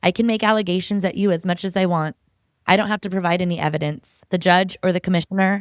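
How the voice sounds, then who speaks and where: A woman's fairly low voice, an unremarkable speaking voice, at a fairly quick pace with fairly even intonation, dry and close with no echo, in a very clean recording over a silent background. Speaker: podcast host. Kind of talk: podcast interview.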